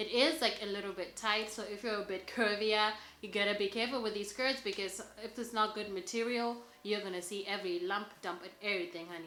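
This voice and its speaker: A woman's enthusiastic, fairly quick voice at medium pitch with a non-native accent, audible room echo and noticeable background noise. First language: not English. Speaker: fashion vlogger. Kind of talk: styling tutorial. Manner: casual, filler-heavy (lots of 'like').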